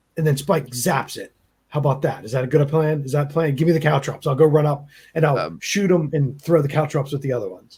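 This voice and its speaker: A raspy put-on character voice from a man, fairly high in pitch, very fast, with big swings in loudness. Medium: actual play. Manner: friendly, quick.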